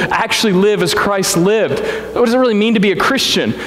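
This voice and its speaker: There is audible room echo and noticeable background noise as a man speaks at a high pitch with an American accent. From Missouri Ozarks, Springfield. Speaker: pastor. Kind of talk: sermon. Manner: conversational, animated.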